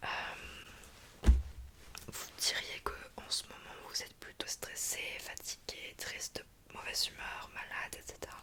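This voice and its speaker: A woman whispers in a gentle tone, with long, frequent pauses and noticeable background noise. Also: big swings in loudness. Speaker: ASMR creator playing a doctor. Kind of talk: ASMR roleplay, soft consultation talk. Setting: studio, close microphone. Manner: soft-spoken, whispering, gentle.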